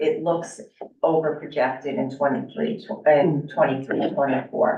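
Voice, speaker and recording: Audible room echo surrounds a woman's very deep, low-pitched voice. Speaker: school district finance administrator. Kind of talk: budget presentation at public meeting. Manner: formal, with frequent fillers.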